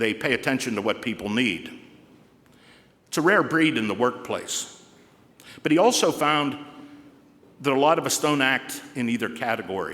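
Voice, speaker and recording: A man with a Pittsburgh accent, medium pitch, bright and sharp tone, lively intonation, moderate pace, and long, frequent pauses. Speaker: commencement speaker. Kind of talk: commencement address. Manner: formal.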